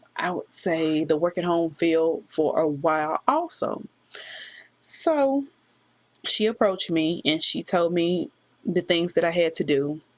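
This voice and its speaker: A woman talks at a fairly low pitch with ordinary pitch variation. Her pace is fairly slow, broken by long, frequent pauses. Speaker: work-from-home vlogger. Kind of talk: casual vlog talk to camera. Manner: halting, hesitant.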